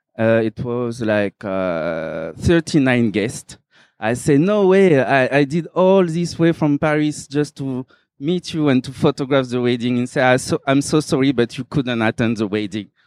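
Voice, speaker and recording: Speaking at a fairly slow pace, a man uses lively intonation. The recording is dry and close, with no echo. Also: medium pitch for a man, quiet background. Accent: French. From Réunion. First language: French. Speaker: photographer. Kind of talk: talk at exhibition.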